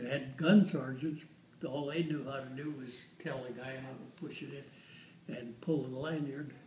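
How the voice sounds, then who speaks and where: Amid noticeable background noise and audible room echo, a man with an American accent speaks at a fairly high pitch and a moderate pace. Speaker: war veteran. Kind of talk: casual chat. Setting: waiting room. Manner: halting.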